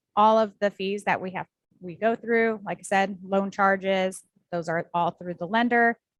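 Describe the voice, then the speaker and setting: In a normal speaking voice, a woman talks at a moderate pace and medium pitch with fairly even intonation. Her loudness swings widely, and the sound is dry and close with no echo. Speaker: title company representative. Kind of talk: presentation to real estate agents.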